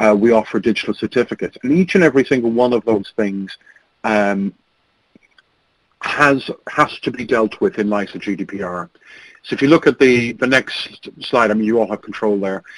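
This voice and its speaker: Dry and close with no echo, a man's medium-pitched voice carries an Irish accent and ordinary pitch variation. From Ireland. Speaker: registrar company owner, panelist. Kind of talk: webinar presentation. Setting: webinar. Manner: fast.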